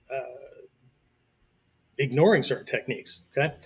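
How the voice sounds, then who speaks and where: Fairly high for a man, this somewhat breathy voice keeps a fairly even intonation. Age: 60s. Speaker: martial arts instructor. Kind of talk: live-streamed lecture. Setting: live video stream. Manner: conversational, frequent 'okay' fillers.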